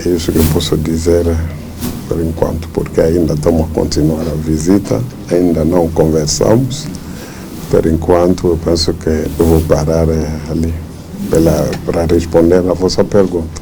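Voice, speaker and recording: Amid noticeable background noise and audible room echo, a man with a non-native accent speaks in a very deep, low voice with monotone, flat intonation. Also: fairly slow pace. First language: not Portuguese (speaking Portuguese). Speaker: church leader. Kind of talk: press interview. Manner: halting, with fillers.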